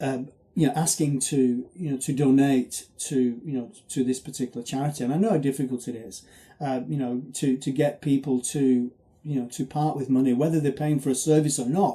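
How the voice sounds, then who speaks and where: The recording is very clean with a silent background as a man speaks fairly quickly at a fairly high pitch, his tone dark and mellow, somewhat breathy, with fairly even intonation. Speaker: charity marathon runner. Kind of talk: video appeal. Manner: fast; halting.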